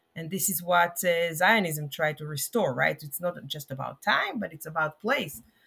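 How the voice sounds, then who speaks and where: Speaking with an Israeli accent, a woman with a fairly low pitch and a bright, sharp tone talks at a moderate pace with ordinary pitch variation, big swings in loudness and hardly any pauses. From Israel, Jerusalem. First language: Hebrew. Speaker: rabbi and professor of liturgy. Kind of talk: interview conversation. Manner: halting, many fillers.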